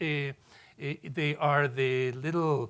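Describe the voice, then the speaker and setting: A man speaks with a Spanish accent. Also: very clean recording, silent background. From Mexico City, Mexico. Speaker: professor. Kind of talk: lecture.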